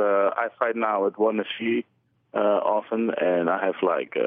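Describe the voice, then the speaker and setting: Speaking at a fairly slow pace, a man with a medium pitch has a plain, everyday voice. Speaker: kickboxer and MMA fighter.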